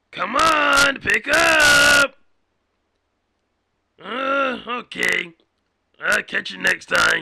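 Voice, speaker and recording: A man uses a put-on character voice, raised, projected and raspy at an extremely high pitch. He goes at a very slow pace with long, frequent pauses. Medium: cartoon. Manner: pushy, rambling.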